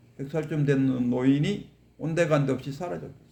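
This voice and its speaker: A man's somewhat breathy, medium-pitched voice with a dark, mellow tone and ordinary pitch variation. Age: 60s. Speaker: Buddhist teacher. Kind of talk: dharma lecture. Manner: conversational, rhetorical questions.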